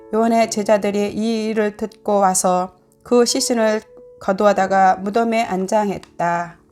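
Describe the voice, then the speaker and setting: Over music in the background, the speech goes at a fairly slow pace in a monotone with flat intonation. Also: woman, medium pitch for a woman. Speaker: church deaconess. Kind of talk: scripture reading.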